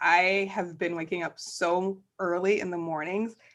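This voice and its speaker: A woman talks at a very slow pace. Her pitch is medium. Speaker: podcast host. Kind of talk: casual chat. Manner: animated.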